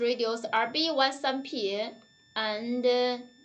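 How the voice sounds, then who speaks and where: High-pitched, the woman's voice shows ordinary variation in pitch. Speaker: product presenter for radio company. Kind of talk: live stream product demo. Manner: halting.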